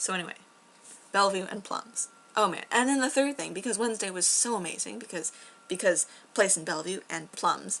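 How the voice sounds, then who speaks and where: A woman's animated tone with vocal fry, broken by long, frequent pauses. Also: medium pitch for a woman, ordinary pitch variation, fairly quick pace. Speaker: vlogger. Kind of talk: casual chat. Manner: fast.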